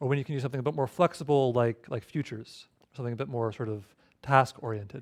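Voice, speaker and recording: A man talks at a fairly quick pace in a fairly high voice. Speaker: tutorial instructor. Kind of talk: tutorial. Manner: fast.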